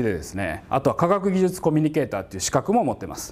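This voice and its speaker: A man talks very fast. His pitch swings very widely. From Japan, Kagawa; Japan. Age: 40s. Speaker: university professor. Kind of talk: lecture. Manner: casual, conversational with many fillers. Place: classroom. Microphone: lapel.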